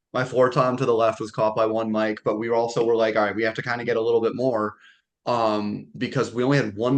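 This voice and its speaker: A man speaks at medium pitch. The background is quiet. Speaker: metal band drummer and vocalist. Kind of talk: casual chat.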